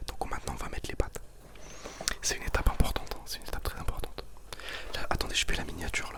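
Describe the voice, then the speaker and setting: Noticeable background noise is present throughout. Over it, the words come at a very fast pace. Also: woman. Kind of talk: casual talk to camera, cooking video. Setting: home kitchen, close microphone. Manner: loud, excited, informal, joking.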